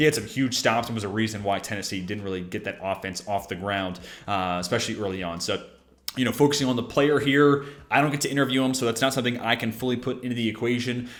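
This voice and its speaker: A man with an American accent at medium pitch, talking at a very fast pace. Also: ordinary pitch variation. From Virginia, Richmond. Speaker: football draft podcaster. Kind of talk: solo analysis monologue.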